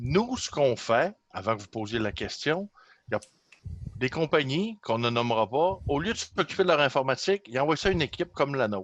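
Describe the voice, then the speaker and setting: Speaking with a Saguenay accent, a man's voice sits at a fairly high pitch with very wide pitch swings. His pace is fairly quick. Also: dry, close sound with no echo. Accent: Saguenay Quebec French. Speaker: system administrator. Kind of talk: casual chat.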